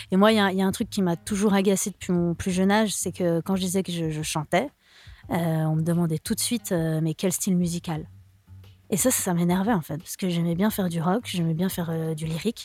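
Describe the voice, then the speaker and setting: With music in the background, a woman at a fairly low pitch talks at a fairly quick pace in fairly even intonation. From Switzerland, Lausanne. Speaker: singer-songwriter. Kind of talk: radio interview.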